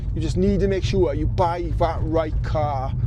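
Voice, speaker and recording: Amid noticeable background noise and audible room echo, a man with a Welsh accent speaks at a moderate pace. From Wales. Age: 40s. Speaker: car YouTuber. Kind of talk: casual vlog talk to camera. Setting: with car, outdoors on mountain road. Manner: rambling, chatty.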